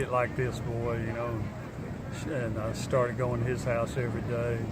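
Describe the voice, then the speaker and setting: A man with an American accent speaks with monotone, flat intonation. Audible room echo and noticeable background noise fill the recording. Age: 60s. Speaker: musician. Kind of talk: casual interview. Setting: outdoors at a farmers market.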